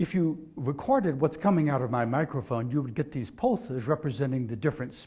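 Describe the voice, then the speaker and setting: This man talks at a fairly quick pace with an American accent, a fairly high pitch, lively intonation, a somewhat breathy quality and big swings in loudness. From Texas. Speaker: scientist. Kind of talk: lecture.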